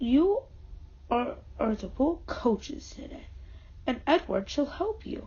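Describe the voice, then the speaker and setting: Using a put-on character voice pitched high, a woman speaks fairly slowly, leaving long, frequent pauses. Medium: read story. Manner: kindly, authoritative.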